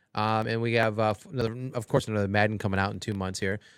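A man with an American accent, medium pitch, fairly even intonation and a very fast pace, on a very clean recording with a silent background. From Cleveland, Ohio. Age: 40s. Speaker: sports podcast co-host. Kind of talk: casual chat. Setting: studio.

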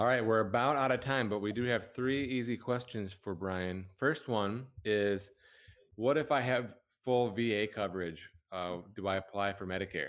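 A man speaks in an unremarkable speaking voice, keeping a moderate pace. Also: fairly low pitch for a man, ordinary pitch variation. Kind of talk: webinar hosting, casual professional. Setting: online webinar, live.

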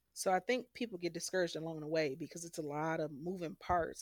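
A woman speaks in an ordinary speaking voice with ordinary pitch variation. The sound is dry and close with no echo, on a very clean recording with a silent background. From Detroit, Michigan. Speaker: domestic violence survivor. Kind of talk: interview testimony.

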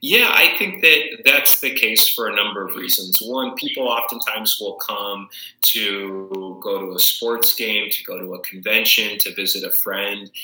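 A man speaks at a fairly slow pace with hardly any pauses. Noticeable background noise can be heard. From Arizona (Tucson). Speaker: city council member. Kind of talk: interview.

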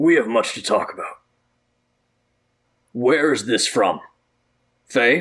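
A man's put-on character voice, raspy and fairly high-pitched, at a fairly slow pace with long, frequent pauses and big swings in loudness. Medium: actual play. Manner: formal, authoritative.

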